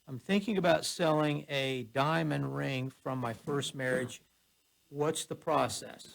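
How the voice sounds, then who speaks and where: With an ordinary speaking voice, a man talks at a fairly slow pace, medium pitch and lively intonation. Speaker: radio co-host. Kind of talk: reading a listener's question on air.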